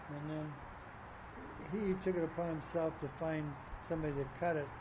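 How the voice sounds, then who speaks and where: A man's fairly high voice holds a monotone, flat intonation while noticeable background noise runs underneath. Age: 80s+. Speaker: sculptor. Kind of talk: interview. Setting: outdoors.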